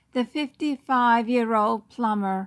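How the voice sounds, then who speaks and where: A woman speaks very slowly in a fairly high voice. The recording is very clean, with a silent background. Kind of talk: news story read aloud.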